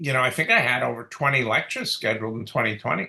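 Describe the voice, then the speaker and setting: The voice belongs to a man. It has a bright, sharp tone. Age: 60s. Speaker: dentist. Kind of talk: interview. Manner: halting, many fillers.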